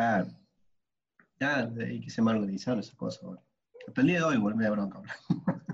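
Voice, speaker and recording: Speaking at a fairly quick pace with lively intonation and vocal fry, a man leaves long, frequent pauses. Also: medium pitch for a man. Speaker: podcast co-host. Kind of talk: casual chat.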